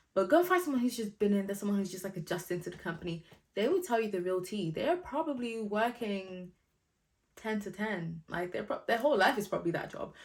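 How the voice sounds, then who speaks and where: A somewhat breathy woman at a medium pitch, animated in tone, with lively intonation and a very fast pace. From Nigeria. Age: 20s. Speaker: YouTuber giving career advice. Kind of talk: casual vlog advice. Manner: animated, chatty.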